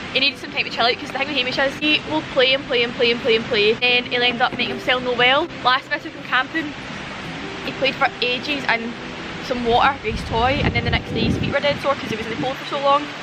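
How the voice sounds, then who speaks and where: Over noticeable background noise, the speech runs very fast with a dry sound and no echo. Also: woman. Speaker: vlogger camping with her dog. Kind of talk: casual vlog chat. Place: open country.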